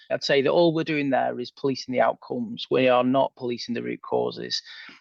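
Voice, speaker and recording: At a fairly quick pace, a man talks in a northern English accent. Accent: northern English twang. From northern England. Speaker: former police officer turned sci-fi author. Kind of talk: podcast interview.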